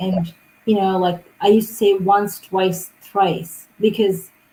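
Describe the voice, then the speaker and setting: The tone is dark and mellow and somewhat breathy, delivered at a fairly slow pace with monotone, flat intonation. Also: woman. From Nepal. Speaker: international student. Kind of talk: livestream interview.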